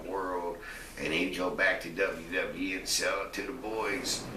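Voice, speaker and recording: A man speaks in a very deep, low pitch at a fairly slow pace. Audible room echo and noticeable background noise surround him. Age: 60s. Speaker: retired pro wrestler. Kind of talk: interview. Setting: at his home.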